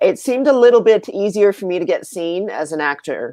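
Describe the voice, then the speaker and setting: A woman is speaking at a moderate pace. Her intonation is lively. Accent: American. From US Midwest, Minnesota. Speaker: actress. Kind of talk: casual chat.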